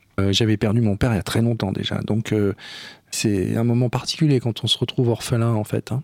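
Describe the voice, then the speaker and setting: In an unremarkable speaking voice, a man talks at a fairly quick pace and medium pitch, recorded with a dry, close sound and no echo. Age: 60s. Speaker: film director. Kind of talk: interview.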